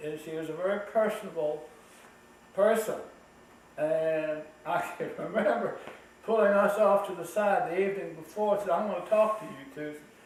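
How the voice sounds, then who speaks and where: At a moderate pace, a man talks while audible room echo and noticeable background noise fill the space. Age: 80s. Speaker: elderly family member telling family history. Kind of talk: family oral history chat.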